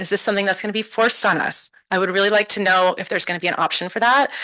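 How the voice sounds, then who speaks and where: Her pitch sits in the medium range for a woman. The woman's intonation stays fairly even. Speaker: parent giving public comment. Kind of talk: public comment at board meeting. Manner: fast.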